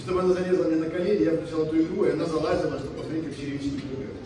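There is strong room echo and noticeable background noise as a man speaks at a very fast pace. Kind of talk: wedding toast speech. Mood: warm, sentimental. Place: hall.

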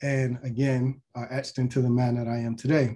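A man's dark, mellow voice at medium pitch, with an American accent. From US Mid-Atlantic, Baltimore, Maryland. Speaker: physician. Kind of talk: lecture.

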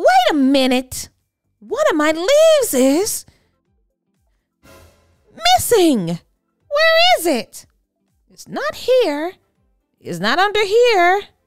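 Over faint background music, a woman does a put-on character voice at an extremely high pitch with very wide pitch swings, a very slow pace and long, frequent pauses.

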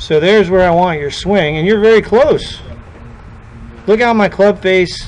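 Over noticeable background noise, a man with a high pitch talks at a moderate pace, using ordinary pitch variation and long, frequent pauses. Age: 50s. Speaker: golf instructor. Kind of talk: tutorial. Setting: in-person lesson with student.

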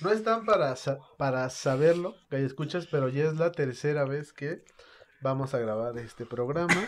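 A man speaks with a fairly high pitch. His pace is moderate and his pitch variation ordinary.

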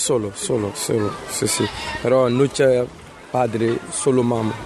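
Over noticeable background noise, a man speaks at a medium pitch with ordinary pitch variation and very even loudness. His pace is very slow, with long, frequent pauses. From Ivory Coast. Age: 30s. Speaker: refugee. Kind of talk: interview. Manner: halting.

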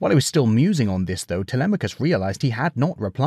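Simply plain reading aloud

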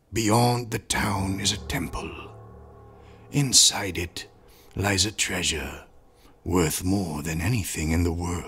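Using a cartoonish character voice, a man speaks very deep and low at a fairly slow pace. He leaves long, frequent pauses. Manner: smooth, wheedling, formal.

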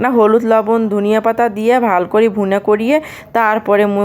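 A medium-pitched woman with a Rangpur accent and fairly even intonation. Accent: Rangpuri Bengali dialect. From Rangpur, northern Bangladesh. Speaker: cooking vlogger. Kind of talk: vlog cooking narration. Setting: home kitchen. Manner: casual.

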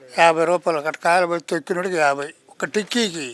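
The man's speech shows ordinary pitch variation. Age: 60s. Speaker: farmer. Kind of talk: street interview answer. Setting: outdoors.

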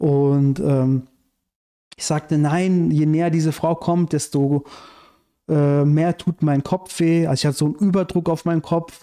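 Against a quiet background, a man with a fairly high pitch and a dark, mellow tone talks at a moderate pace with fairly even intonation. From Iran, raised in Germany from childhood. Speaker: screenwriter and activist; podcast guest. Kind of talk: casual interview conversation. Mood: calm narrating a dream. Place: home room. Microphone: studio mic.

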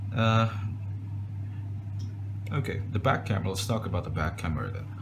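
The speech moves at a fairly quick pace with noticeable background noise behind it. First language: non-native English speaker. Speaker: phone reviewer. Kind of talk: casual talk to camera. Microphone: phone near.

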